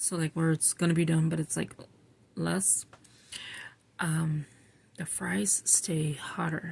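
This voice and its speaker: Quietly and at a very slow pace, a woman speaks with a very deep, low pitch. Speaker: scripture writing vlogger. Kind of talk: casual chat. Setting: at home at night while others sleep. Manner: quiet, low voice.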